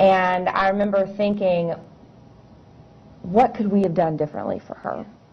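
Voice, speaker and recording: Moderate pace and fairly even intonation from a woman's voice. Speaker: interview guest. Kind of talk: interview answer. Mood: somber, regretful recollection. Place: studio.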